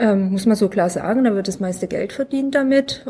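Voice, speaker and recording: A woman's somewhat breathy voice with a dark, mellow tone, fairly high pitch, ordinary pitch variation and moderate pace. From Munich. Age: 40s. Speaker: self-help group member, patient. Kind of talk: casual chat. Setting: at a medical conference.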